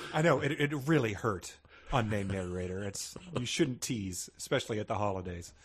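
This somewhat breathy voice talks at a fairly quick pace with lively intonation. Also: man, fairly low pitch for a man. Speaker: comedy podcast co-host. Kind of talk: comedic casual chat. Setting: at home, remote recording.

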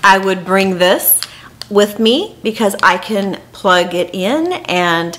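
The speaker talks at a very slow pace with ordinary pitch variation. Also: woman. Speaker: travel vlogger. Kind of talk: casual vlog chat. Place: home room. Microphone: phone near.

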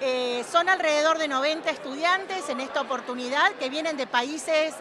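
Over crowd noise, a woman with a high pitch delivers a raised, projected voice at a fairly slow pace. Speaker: university official. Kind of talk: interview. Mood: warm, welcoming.

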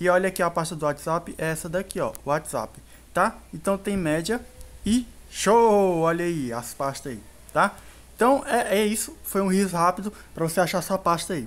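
Using lively intonation, a man talks at a moderate pace with a high pitch. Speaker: tech YouTuber. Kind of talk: tutorial. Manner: casual.

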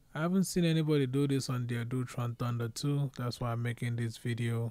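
The pitch variation is ordinary as a man talks. There is no echo, and the sound stays dry. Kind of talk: tutorial. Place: home room. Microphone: phone near.

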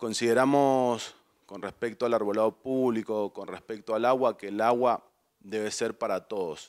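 At a moderate pace and with fairly even intonation, a man talks over a quiet background. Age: 30s. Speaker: lawyer and political candidate; candidate. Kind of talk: campaign interview speech. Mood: earnest, persuasive. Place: studio. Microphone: handheld.

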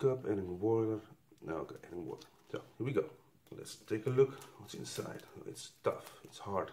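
A man with a Dutch accent talks at a moderate pace with long, frequent pauses and big swings in loudness, over light background noise. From Netherlands. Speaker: YouTuber reviewing military rations. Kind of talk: casual taste-test review video. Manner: halting, non-fluent English. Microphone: phone near.

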